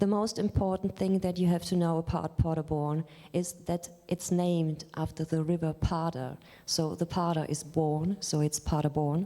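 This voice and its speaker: A woman with a German accent, fairly low in pitch, dark and mellow in tone, monotone and flat in intonation, at a very even loudness. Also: moderate pace. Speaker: librarian. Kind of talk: lecture. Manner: halting.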